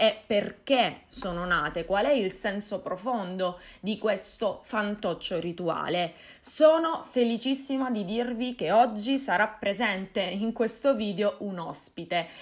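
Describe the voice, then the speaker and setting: Speaking very slowly, a woman's voice comes through over a quiet background. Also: ordinary pitch variation. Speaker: folklore vlogger. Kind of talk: casual vlog chat. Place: home room.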